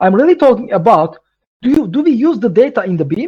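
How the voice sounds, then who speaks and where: With a Turkish accent, a man talks at a moderate pace, his pitch swinging very widely. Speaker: tech presenter. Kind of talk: webinar Q&A. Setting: online webinar. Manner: halting, many fillers.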